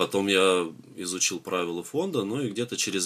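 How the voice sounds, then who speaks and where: This man's voice has a very deep, low pitch. The recording is very clean, with a silent background. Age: 30s. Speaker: charity volunteer and construction engineer. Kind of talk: interview.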